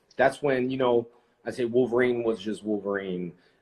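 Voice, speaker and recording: At a fairly quick pace, a man speaks at a medium pitch in an unremarkable speaking voice. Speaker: actor and live show host. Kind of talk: casual livestream conversation with a guest.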